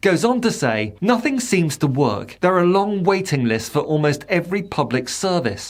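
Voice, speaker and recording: A high-pitched man with a British accent and very wide pitch swings, on a very clean recording with a silent background. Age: 60s. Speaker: political commentator. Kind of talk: scripted commentary.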